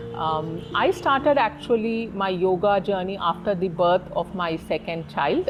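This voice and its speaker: Noticeable background noise sits behind speech at a fairly slow pace with ordinary pitch variation. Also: woman. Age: 40s. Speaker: yoga student and architect. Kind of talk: interview testimony.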